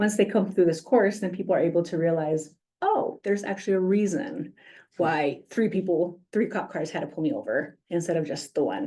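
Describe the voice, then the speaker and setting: With a Spanish accent, a woman talks at a fairly quick pace in a medium pitch, her intonation lively against a quiet background. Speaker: police community outreach coordinator. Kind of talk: presentation at a public meeting. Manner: frequent 'um' fillers.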